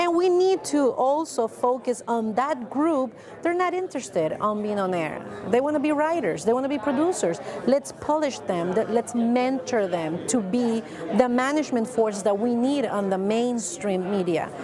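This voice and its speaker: A woman's high-pitched voice with a Spanish accent and very wide pitch swings, amid audible room echo and noticeable background noise. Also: moderate pace. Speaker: TV news anchor. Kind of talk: interview.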